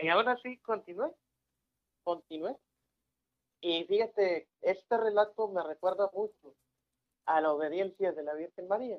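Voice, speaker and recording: A man speaks in a high voice at a fairly slow pace. He leaves long, frequent pauses. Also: ordinary pitch variation. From Mexico, Tamaulipas (Ciudad Victoria). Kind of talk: casual religious talk show.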